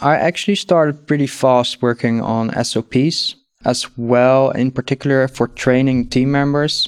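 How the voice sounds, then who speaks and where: A man with a Dutch accent, fairly slow pace, fairly even intonation and very even loudness, on a very clean recording with a silent background. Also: medium pitch for a man, hardly any pauses, dry, close sound with no echo. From Netherlands. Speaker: agency founder. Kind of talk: interview, business talk.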